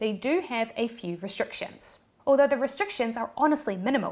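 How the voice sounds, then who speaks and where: A woman with a New Zealand accent at a fairly quick pace, with ordinary pitch variation. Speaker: YouTube creator. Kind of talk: tutorial. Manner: animated.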